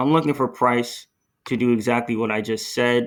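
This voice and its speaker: A man with an ordinary speaking voice talks at medium pitch and a moderate pace, with ordinary pitch variation, on a very clean recording with a silent background. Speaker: forex trader. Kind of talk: tutorial.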